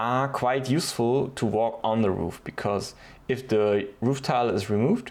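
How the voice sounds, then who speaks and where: This man speaks at a fairly slow pace with a German accent. His pitch is medium, with ordinary variation. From Germany. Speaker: DIY video creator. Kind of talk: tutorial. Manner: hesitant, with fillers.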